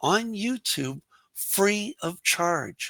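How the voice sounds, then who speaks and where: A man projects a raised voice at a high pitch, speaking at a very slow pace. His tone is bright and sharp, and the sound is dry and close with no echo. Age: 60s. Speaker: English teacher. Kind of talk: interview.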